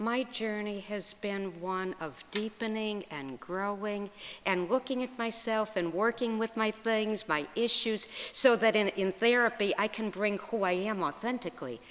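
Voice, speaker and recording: A woman with a normal speaking voice talks fairly slowly, her fairly high pitch showing ordinary variation. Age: 60s. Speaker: minister and therapist. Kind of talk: lecture.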